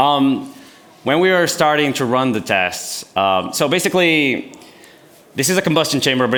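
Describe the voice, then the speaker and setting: With lively intonation and a moderate pace, a man speaks amid noticeable background noise and audible room echo. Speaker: YouTuber and engineering maker. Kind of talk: conference talk with Q&A. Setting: stage with audience.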